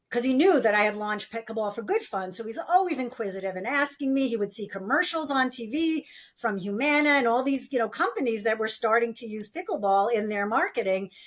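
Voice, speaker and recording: A woman's very fast delivery with lively intonation and hardly any pauses. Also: fairly high pitch for a woman. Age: 60s. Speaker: nonprofit founder. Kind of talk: interview.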